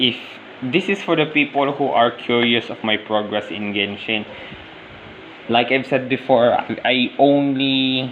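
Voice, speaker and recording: A man at medium pitch with ordinary pitch variation and a fairly slow pace, amid noticeable background noise. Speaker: gaming vlogger. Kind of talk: casual vlog narration over gameplay. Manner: halting.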